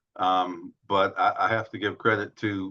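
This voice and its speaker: The man has an American accent, a fairly low pitch and monotone, flat intonation. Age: 70s. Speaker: author and former activist. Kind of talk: interview. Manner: halting.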